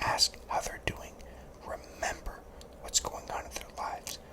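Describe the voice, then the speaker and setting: Someone whispers over noticeable background noise. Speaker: law-related content creator. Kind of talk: ASMR whisper talk to camera giving career advice. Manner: whispered, soft-spoken.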